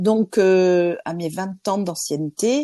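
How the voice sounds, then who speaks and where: The woman has a dark, mellow tone and ordinary pitch variation. The background is quiet. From France. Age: 50s. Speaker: interviewee, insurance trainer. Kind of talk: interview. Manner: hesitant, many fillers.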